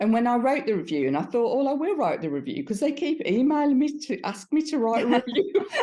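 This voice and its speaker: In a Birmingham accent, a woman speaks very fast with a high pitch, very wide pitch swings and a dark, mellow tone. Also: hardly any pauses. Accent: Brummie. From Birmingham, England. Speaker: B2B marketer. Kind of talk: interview answer.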